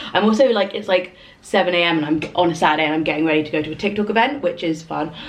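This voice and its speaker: Noticeable background noise surrounds a woman speaking with a London accent. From London, England. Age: 30s. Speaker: lifestyle vlogger. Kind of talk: casual chat. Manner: casual, filler-heavy.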